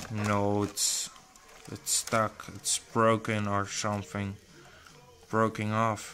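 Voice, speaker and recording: Through noticeable background noise, a man talks at a very slow pace in a fairly low pitch, his intonation monotone and flat. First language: not English. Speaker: tech hobbyist YouTuber. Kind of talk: tutorial. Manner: halting.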